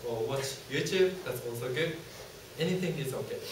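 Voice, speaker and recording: A man at a moderate pace, with audible room echo and noticeable background noise. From Japan. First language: Japanese. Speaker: university student presenter. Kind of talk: student presentation. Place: classroom. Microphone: camera far.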